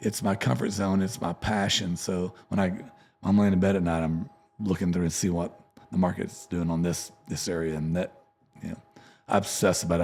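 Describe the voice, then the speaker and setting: A man with a Texan accent talks in a very deep, low pitch at a moderate pace with fairly even intonation. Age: 50s. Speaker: country musician. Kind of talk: casual interview chat.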